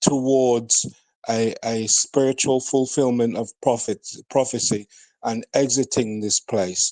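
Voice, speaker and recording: A man with a British accent speaks very slowly at a medium pitch, his intonation fairly even and his tone dark and mellow. The sound is dry and close with no echo, over a quiet background. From Jamaica. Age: 60s. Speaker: elder in online debate. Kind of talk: heated debate.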